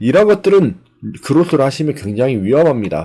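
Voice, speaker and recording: Speaking at a fairly quick pace, a man with a dark, mellow tone makes very wide pitch swings. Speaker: online seller and YouTuber. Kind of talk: screen-recorded tutorial. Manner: conversational with fillers.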